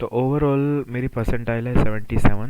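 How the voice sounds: At a moderate pace, a man speaks at a medium pitch in a clear, smooth, slightly mellow tone with fairly even intonation.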